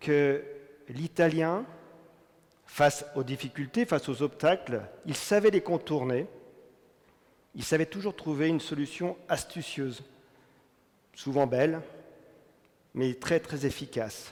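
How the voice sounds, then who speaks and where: Very slow and broken by long, frequent pauses, a man's fairly high voice carries ordinary pitch variation. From France. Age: 60s. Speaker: business executive. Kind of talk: testimony talk.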